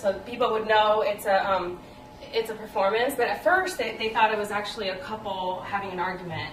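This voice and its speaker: Speech at a fairly quick pace with fairly even intonation comes through noticeable background noise and audible room echo. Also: woman. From El Salvador, moved to US at eight. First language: Spanish. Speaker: playwright. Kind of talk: interview. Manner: hesitant, many fillers.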